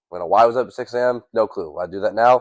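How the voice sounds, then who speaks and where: A man speaks at a fairly quick pace with a Midwestern American accent. The sound is dry and close with no echo, over a quiet background. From US Midwest, Cleveland area, Ohio. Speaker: podcast co-host. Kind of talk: casual chat.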